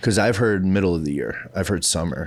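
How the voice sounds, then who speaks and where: A man speaks with a Midwestern accent. His pitch is fairly low. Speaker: podcast co-host. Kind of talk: casual chat. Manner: mumbling.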